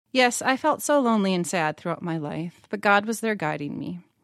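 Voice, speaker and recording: A woman with an American accent talks at a fairly quick pace and medium pitch in a plain, everyday voice. The recording is very clean with a silent background and a dry, close sound with no echo. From central Minnesota, US. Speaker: church member sharing faith story. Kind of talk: personal testimony read aloud.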